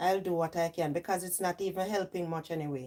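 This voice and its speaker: Speaking in a Jamaican accent, a woman talks at a fairly quick pace in an animated tone with a fairly low pitch. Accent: Jamaican, with patois. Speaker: livestream host. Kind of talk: casual livestream chat.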